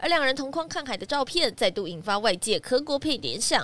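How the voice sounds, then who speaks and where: Her voice sits high in pitch with very wide pitch swings and a bright, sharp tone. This woman talks at a fairly quick pace. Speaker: news reporter. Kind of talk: news report.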